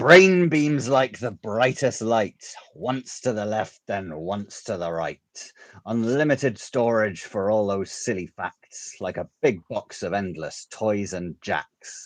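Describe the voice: A gravelly, put-on character voice from a man, raised and projected, medium in pitch, at a fairly slow pace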